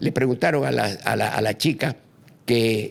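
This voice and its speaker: A man is speaking. His voice has vocal fry. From eastern Bolivia (Santa Cruz, Chiquitania). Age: 80s+. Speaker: former politician. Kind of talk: podcast interview on politics. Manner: animated.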